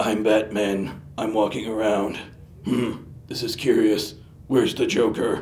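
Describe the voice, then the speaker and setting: A man speaks in a put-on character voice at medium pitch and a fairly slow pace, with clear background noise behind him. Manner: flat, unconvincing.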